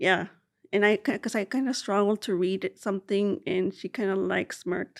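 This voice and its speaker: A woman with a Spanish accent speaks at a medium pitch and a moderate pace with ordinary pitch variation, in a very clean recording with a silent background and a dry, close sound with no echo. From South Texas, Rio Grande Valley (McAllen), Mexican family. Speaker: social work doctoral student, researcher. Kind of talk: interview. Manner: halting, many fillers.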